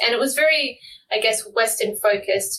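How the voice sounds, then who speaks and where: A bright, sharp tone with an Australian accent and fairly even intonation. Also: woman. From Tasmania, Australia. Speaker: marine plastic pollution researcher. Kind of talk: interview. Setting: remote call.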